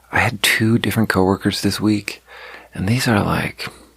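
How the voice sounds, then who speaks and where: Noticeable background noise fills the recording. Through it, a man talks in a fairly low pitch. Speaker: podcaster. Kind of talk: casual monologue. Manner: soft-spoken.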